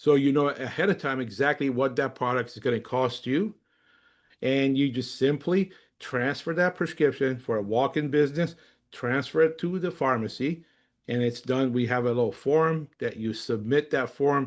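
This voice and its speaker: This man has an unremarkable speaking voice with a fairly high pitch and ordinary pitch variation. He talks at a moderate pace against a quiet background. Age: 60s. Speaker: company executive and webinar presenter. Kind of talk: webinar presentation. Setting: online webinar. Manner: casual, with frequent fillers.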